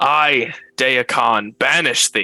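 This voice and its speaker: A loud, booming put-on character voice from a man at medium pitch. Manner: booming proclamation.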